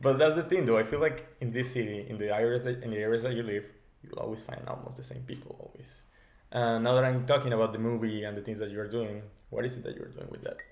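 A man's voice at a very fast pace, medium in pitch, with fairly even intonation and big swings in loudness. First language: Spanish. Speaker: podcast co-host. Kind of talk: casual chat.

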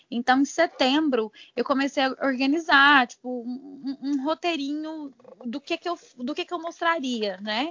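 Her voice is high for a woman, and this woman's pitch varies in an ordinary way. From Goiânia, Brazil. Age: 30s. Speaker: military firefighter and travel influencer. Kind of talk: casual interview.

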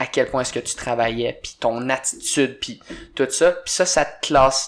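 An unremarkable speaking voice from a man, medium in pitch, at a fairly slow pace. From Quebec. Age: 20s. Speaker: CrossFit coach and former hockey player. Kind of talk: casual chat.

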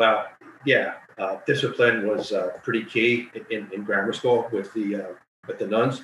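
A man talks at a fairly slow pace. He has a New Jersey accent. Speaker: title insurance lawyer. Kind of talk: casual chat.

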